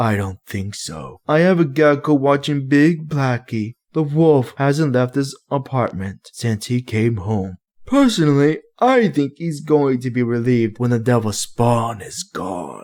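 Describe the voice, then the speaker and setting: Putting on a character voice, a man talks at a fairly slow pace and medium pitch with hardly any pauses. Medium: read story. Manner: pompous, menacing.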